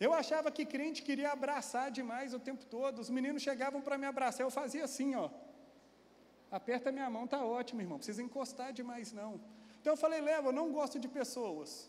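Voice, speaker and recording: An animated man with an extremely high pitch, talking at a fairly quick pace. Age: 40s. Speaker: pastor. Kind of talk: sermon. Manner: animated storytelling.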